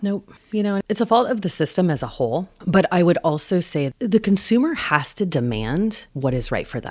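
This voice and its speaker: A woman's medium-pitched voice with vocal fry and very wide pitch swings, at a moderate pace with hardly any pauses. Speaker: birth doula. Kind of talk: interview answer. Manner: confident, outspoken, fiery.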